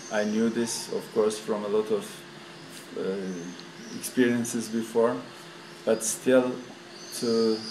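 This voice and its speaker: With long, frequent pauses, a man speaks at a very slow pace and medium pitch with fairly even intonation, amid audible room echo and noticeable background noise. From Turkey. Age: 60s. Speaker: tour participant. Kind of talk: interview. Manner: halting.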